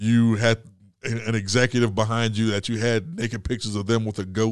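Over a quiet background, a man with an ordinary speaking voice and an American accent talks at medium pitch and a moderate pace, with fairly even intonation. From US. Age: 40s. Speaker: comedian. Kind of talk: casual chat. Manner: laughs often.

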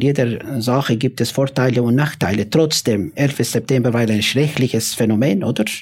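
Ordinary pitch variation and a moderate pace in a man's voice of medium pitch. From former Yugoslavia. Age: 50s. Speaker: imam. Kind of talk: panel discussion. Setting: live audience in a café. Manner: halting.

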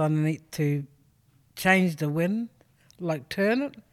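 There's a woman with an Australian accent and a fairly low pitch talking at a very slow pace on a very clean recording with a silent background. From South Australia. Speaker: artist. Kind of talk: interview.

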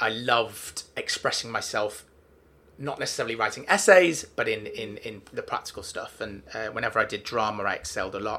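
A man with a Mancunian accent, at a fairly quick pace. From Manchester, England. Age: 30s. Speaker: talent agent. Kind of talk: casual interview. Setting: office.

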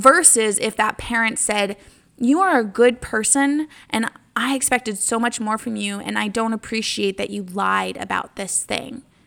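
The speaker is a woman with a fairly high pitch. Her tone is bright and sharp. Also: ordinary pitch variation, moderate pace. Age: 20s. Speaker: podcast host. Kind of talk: solo casual monologue. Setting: home common area.

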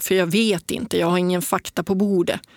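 A woman with a normal speaking voice talks at medium pitch with fairly even intonation, recorded very cleanly against a silent background with a dry, close sound and no echo. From northern Sweden, Piteå. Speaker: ultrarunner and adventurer. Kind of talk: interview conversation. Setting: studio.

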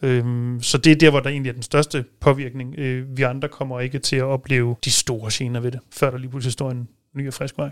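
Recorded with a dry, close sound and no echo, a man speaks. His pitch is medium and his intonation monotone and flat. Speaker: policy consultant at a motoring organisation. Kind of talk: casual studio discussion. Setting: studio.

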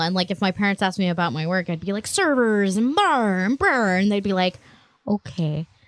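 A woman with an ordinary speaking voice talks at a medium pitch and moderate pace with lively intonation. The recording is very clean, with a silent background and a dry, close sound with no echo. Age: 20s. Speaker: podcast co-host; IT professional. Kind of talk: casual chat.

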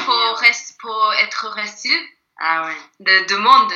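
A woman with a Japanese accent. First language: Japanese (speaking French). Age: 20s. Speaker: actress. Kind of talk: casual chat. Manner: halting.

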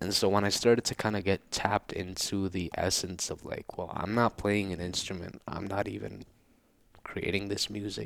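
A fairly low male voice with vocal fry and monotone, flat intonation. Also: moderate pace. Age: 20s. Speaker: musician, guitarist. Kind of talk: casual chat.

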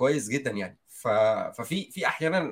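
A man with lively intonation. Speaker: software engineer. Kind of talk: casual chat.

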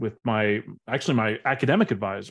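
Against a quiet background, a man speaks in an animated tone at a moderate pace with ordinary pitch variation. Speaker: biology professor. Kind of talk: casual interview. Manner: outgoing, animated.

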